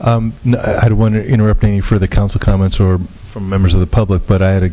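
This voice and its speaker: Noticeable background noise sits under speech whose intonation stays fairly level. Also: man. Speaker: city attorney. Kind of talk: formal legal reading.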